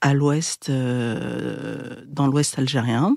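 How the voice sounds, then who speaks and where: A woman speaks at a very slow pace with a very deep, low pitch. The recording is very clean, with a silent background. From France, Essonne (91) suburbs. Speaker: documentary filmmaker and podcaster. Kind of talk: interview. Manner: hesitant, many fillers.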